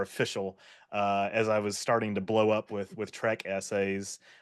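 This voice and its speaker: Over a quiet background, a man speaks at a moderate pace in a fairly low pitch. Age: 20s. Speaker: YouTuber, video essayist. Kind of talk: podcast interview.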